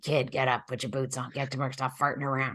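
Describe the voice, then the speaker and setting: A man puts on a character voice at a medium pitch. He talks at a very fast pace with monotone, flat intonation. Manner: cranky, scolding.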